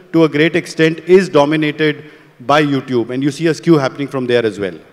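Talking at a fairly quick pace, a man uses a fairly high pitch with ordinary pitch variation.

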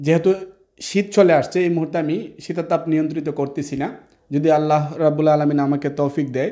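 Over a quiet background, a man with a fairly high pitch speaks in a dark, mellow tone with fairly even intonation. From Bangladesh, Brahmanbaria; Bangladesh. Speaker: mobile repair trainer. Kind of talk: video presentation. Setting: training lab. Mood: apologetic, earnest. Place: classroom. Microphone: lapel.

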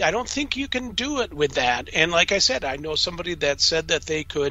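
High in pitch, a man's voice has lively intonation. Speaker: paranormal radio show host. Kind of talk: casual radio talk show conversation.

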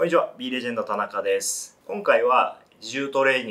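A man talking at a fairly quick pace. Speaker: fitness trainer. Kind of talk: tutorial. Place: studio.

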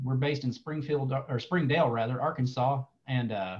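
Somewhat breathy, a man talks at a fairly quick pace. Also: quiet background. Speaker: presenter. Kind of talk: online presentation. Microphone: webcam.

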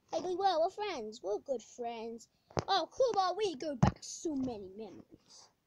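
The voice has a dark, mellow tone and very wide pitch swings at a fairly slow pace, recorded dry with no echo amid noticeable background noise. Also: woman. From England. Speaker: gamer. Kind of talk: gameplay commentary. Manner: animated. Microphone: phone near.

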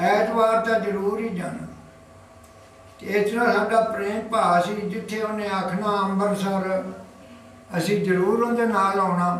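The voice stays monotone with flat intonation, set against light background noise and audible room echo. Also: man, high pitch for a man. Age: 80s+. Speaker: elderly friend of a freedom fighter. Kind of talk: interview answer, reminiscence. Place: home room. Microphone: camera far.

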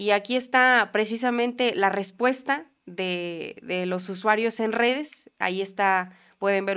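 Against a quiet background, a woman talks at medium pitch with hardly any pauses. Her pitch variation is ordinary. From Mexico. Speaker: political commentary youtuber. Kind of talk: political news commentary. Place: studio. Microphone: studio mic.

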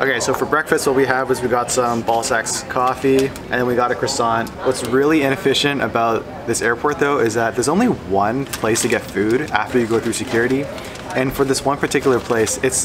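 A man's voice with very even loudness and fairly even intonation, over noticeable background noise. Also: fairly quick pace. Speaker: travel vlogger. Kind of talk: casual vlog chat. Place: station. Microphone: phone near.

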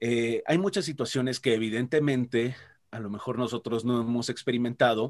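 The setting is quiet as a man talks fairly quickly. His pitch variation is ordinary. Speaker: voice actor; voice actor guest. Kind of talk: interview. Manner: animated. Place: home room. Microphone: video call.

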